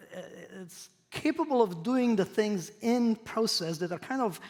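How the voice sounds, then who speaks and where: A man with a non-native accent talks at a moderate pace. His voice is high, with lively intonation. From Croatia. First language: not English. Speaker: professor. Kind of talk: lecture.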